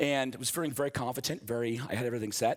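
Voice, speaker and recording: Fairly quick speech in an American accent, in a very clean recording with a silent background. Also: man. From US East Coast. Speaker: software developer, conference speaker. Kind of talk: conference talk with live coding. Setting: stage with audience. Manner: fast; animated.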